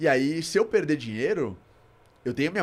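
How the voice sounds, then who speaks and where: Over a very clean recording with a silent background, a man speaks at a very fast pace. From Brazil, São Paulo. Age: 30s. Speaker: investment platform founder. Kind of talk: podcast interview. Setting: studio.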